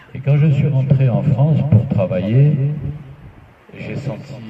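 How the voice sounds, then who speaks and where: A man with a fairly high voice speaks very slowly and with lively intonation, his words carrying audible room echo over noticeable background noise. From Algeria (pied-noir, Oran), then Spain. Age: 70s. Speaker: association president. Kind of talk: speech. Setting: meeting hall with audience. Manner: emotional, formal oratory.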